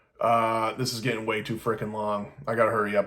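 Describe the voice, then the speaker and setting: A man is shouting at a fairly quick pace. His pitch is medium. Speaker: vlogger documenting benzodiazepine withdrawal. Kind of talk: casual personal video diary. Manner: loud, self-described yelling; halting, many repeats and false starts.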